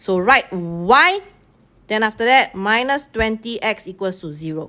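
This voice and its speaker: Speaking with a Singaporean accent, a woman uses a fairly high pitch, lively intonation and a bright, sharp tone. Her pace is fairly slow. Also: quiet background. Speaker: math teacher. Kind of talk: live-streamed tutorial. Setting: online live stream.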